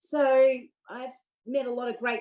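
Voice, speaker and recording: The voice has a dark, mellow tone and an Australian accent. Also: woman. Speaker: US expat tax activist. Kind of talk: interview.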